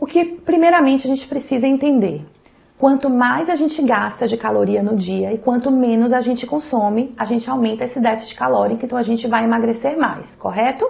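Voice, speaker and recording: Her pitch is high, with ordinary variation. The woman talks at a fairly quick pace. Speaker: nutrition professional. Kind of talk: health advice talk to camera.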